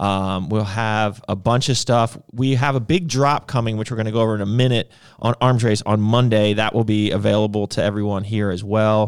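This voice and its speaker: An unremarkable speaking voice from a man, fairly low-pitched, with ordinary pitch variation and a moderate pace. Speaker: podcast host. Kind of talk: casual banter on a livestream. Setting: live stream, two hosts. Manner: joking, playful, laughs a lot.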